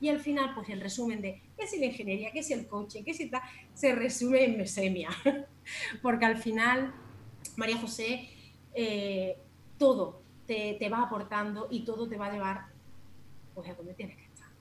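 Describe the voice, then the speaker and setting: With audible room echo, a woman with a fairly high pitch talks at a moderate pace, leaving long, frequent pauses and making big swings in loudness. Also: ordinary pitch variation. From Andalusia, Jaén province. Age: 40s. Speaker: natural cosmetics shop owner. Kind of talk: casual interview.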